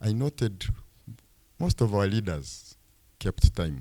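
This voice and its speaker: Fairly low in pitch, this man's voice has a dark, mellow tone and very wide pitch swings at a fairly slow pace. The sound is dry and close, with no echo. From Uganda, Fort Portal area. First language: Rutoro. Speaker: fund executive. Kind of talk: public presentation. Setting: town hall meeting.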